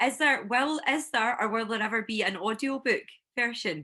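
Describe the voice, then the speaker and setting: Over a quiet background, a woman with a fairly high pitch speaks in a bright, sharp tone with ordinary pitch variation. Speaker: book club host. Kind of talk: interview host talk.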